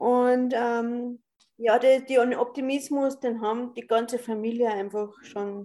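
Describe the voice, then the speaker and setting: A woman speaks at a very slow pace in a fairly high pitch. Her tone is dark and mellow, and her intonation fairly even. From Upper Austria. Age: 30s. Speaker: interviewee, documentary film subject. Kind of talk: interview.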